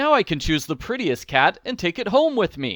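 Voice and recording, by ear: With a fairly bright tone, a man puts on a character voice that is high in pitch, swings very widely in pitch, and moves at a moderate pace.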